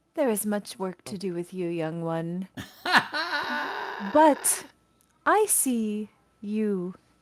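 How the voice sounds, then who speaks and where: Here is a put-on character voice that sounds female and booming. It sits at a medium pitch for a woman. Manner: grand, commanding.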